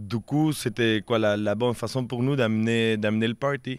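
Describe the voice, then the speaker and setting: Recorded very cleanly against a silent background, the speaker has a Quebec accent, a moderate pace and ordinary pitch variation. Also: man. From Peru. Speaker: street performer. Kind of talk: interview.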